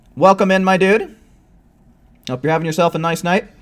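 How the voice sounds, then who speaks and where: A loud man with a high pitch. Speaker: video game streamer. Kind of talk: live gameplay commentary. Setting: live stream at home with headset.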